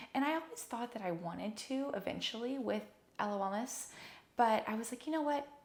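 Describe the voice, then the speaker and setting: This woman speaks at a fairly quick pace with a fairly high pitch and lively intonation. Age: 20s. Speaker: physical therapist and wellness podcast host. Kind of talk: solo podcast talk. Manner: animated.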